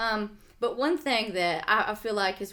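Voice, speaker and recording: A woman speaks with a slight Southern US accent. Her pitch variation is ordinary. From US South. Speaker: podcast co-host and author. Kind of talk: casual chat. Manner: halting, many fillers.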